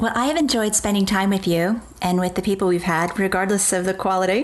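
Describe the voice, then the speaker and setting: A woman's medium-pitched voice at a fairly quick pace, fairly even in intonation, against noticeable background noise. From US East Coast. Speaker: podcast co-host. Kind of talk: casual chat.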